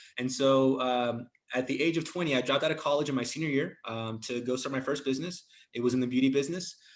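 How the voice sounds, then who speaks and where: The speaker has a Spanish accent. The pace is very fast. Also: man, medium pitch for a man. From Mexico, then raised in the US. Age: 30s. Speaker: entrepreneur. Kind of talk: interview. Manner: animated, casual slang.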